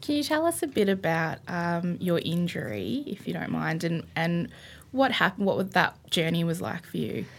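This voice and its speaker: At a moderate pace, a woman talks in an Australian accent. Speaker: podcast co-host. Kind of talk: casual chat. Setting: studio.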